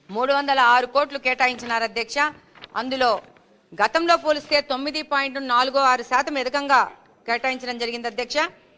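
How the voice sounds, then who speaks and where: A raised, projected voice with a bright, sharp tone and fairly even intonation. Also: woman, high pitch for a woman. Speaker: politician. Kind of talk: legislative assembly speech.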